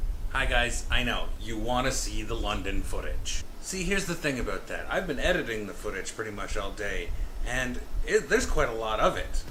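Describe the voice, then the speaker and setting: A man speaks at a moderate pace with a Canadian accent. The room echo is audible, and there is noticeable background noise. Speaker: travel vlogger. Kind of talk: travel vlog. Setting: outdoors. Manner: casual, chatty.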